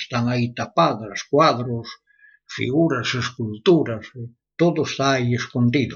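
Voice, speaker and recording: The voice is somewhat breathy, with ordinary pitch variation. It moves at a fairly slow pace. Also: man. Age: 80s+. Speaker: blacksmith and metal artist. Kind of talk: interview. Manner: halting, repeats words.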